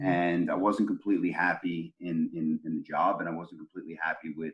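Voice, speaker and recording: Words come at a fairly quick pace. A New York accent marks the speech. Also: man. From Brooklyn, New York. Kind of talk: casual interview answer. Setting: video call. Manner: casual, profane.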